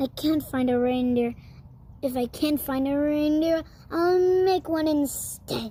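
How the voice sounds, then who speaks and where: A woman puts on a growling character voice with a high pitch. She talks at a fairly slow pace with ordinary pitch variation. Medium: read story. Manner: snarling, sneering.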